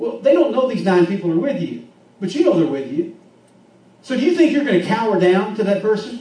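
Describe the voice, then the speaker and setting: The voice moves at a fairly quick pace with very wide pitch swings. Noticeable background noise and audible room echo can be heard. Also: man. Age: 50s. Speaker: pastor. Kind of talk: sermon.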